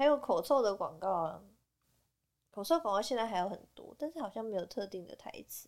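Recorded very cleanly against a silent background, a woman with a Taiwanese accent speaks at a fairly high pitch and fairly quick pace, with very wide pitch swings and big swings in loudness. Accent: Taiwanese Mandarin. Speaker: podcast co-host. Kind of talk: casual chat.

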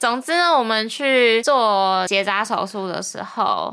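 Delivered at a very slow pace with lively intonation, the voice has a bright, sharp tone in a very clean recording with a silent background. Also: woman. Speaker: podcast host. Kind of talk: casual chat.

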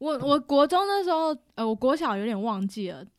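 On a very clean recording with a silent background, a woman with a Taiwanese accent speaks in an animated tone at a moderate pace. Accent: Taiwanese Mandarin. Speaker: teacher, returning guest. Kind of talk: casual chat, storytelling. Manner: animated, laughing often.

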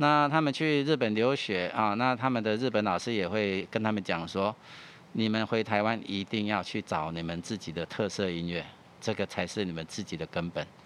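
This man has a plain, everyday voice, pitched fairly low, at a moderate pace. His intonation is lively. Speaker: music archive director. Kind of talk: interview. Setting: studio.

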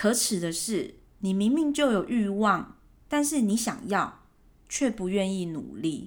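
A woman speaks at a fairly slow pace with lively intonation and a medium pitch. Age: 30s. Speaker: podcast host. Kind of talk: casual monologue. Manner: relaxed.

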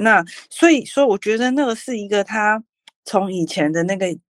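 This woman talks at a fairly slow pace. Her pitch rises and falls in an ordinary way. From Taiwan, New Taipei north coast. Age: 30s. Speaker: city councillor candidate. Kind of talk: interview. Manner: halting, many fillers.

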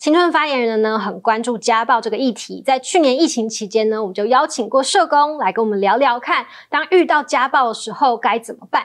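In a normal speaking voice, the speaker moves at a moderate pace with lively intonation. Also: woman. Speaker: podcast host. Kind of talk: interview; scripted show introduction.

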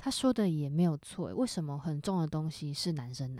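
A woman's dark, mellow tone comes through a very clean recording against a silent background. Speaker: podcast co-host. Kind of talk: casual chat.

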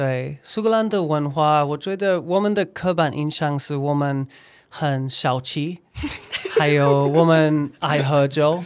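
A man with a fairly high pitch, ordinary pitch variation and a very slow pace. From Scotland; Edinburgh, Scotland. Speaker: recruiter and former English teacher. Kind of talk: casual interview chat. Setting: in-person studio recording.

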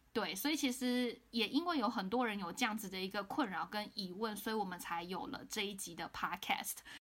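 Talking at a fairly quick pace with hardly any pauses, a woman uses lively intonation and a fairly high pitch. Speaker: career consultant podcast host. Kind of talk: casual interview chat. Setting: remote recording.

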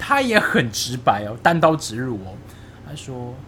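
Audible room echo surrounds the voice. A man speaks at a medium pitch. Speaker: podcast co-host. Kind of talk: casual chat.

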